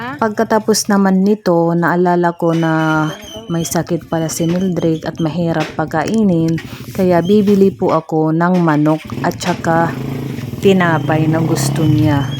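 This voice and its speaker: Over noticeable background noise, a woman with an Eastern Visayan accent speaks at a fairly slow pace and fairly low pitch. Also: ordinary pitch variation. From Eastern Visayas, Leyte. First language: Waray (speaking Tagalog). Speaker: vlogger. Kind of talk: vlog narration. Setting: outdoors.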